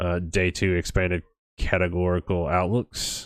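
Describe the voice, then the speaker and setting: Over a quiet background with a dry, close sound and no echo, a man with an American accent and a very deep, low pitch speaks at a fairly slow pace in a monotone, flat way. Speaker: weather livestream host. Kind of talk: live weather coverage. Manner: casual, full of fillers.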